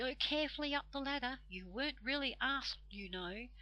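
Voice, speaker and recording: A put-on character voice at a fairly quick pace. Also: female-sounding voice, high pitch for a woman. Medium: read story.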